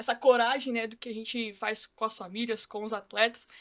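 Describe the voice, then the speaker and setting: Using an ordinary speaking voice, a woman talks at a fairly high pitch and a moderate pace. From São Paulo city, Brazil. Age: 20s. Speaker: football academy staff, former player. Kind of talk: casual podcast chat.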